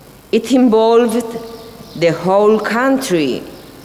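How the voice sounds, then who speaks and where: A woman speaks in a Spanish accent. Noticeable background noise runs behind her. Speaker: whistleblower. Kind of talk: testimony speech. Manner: halting.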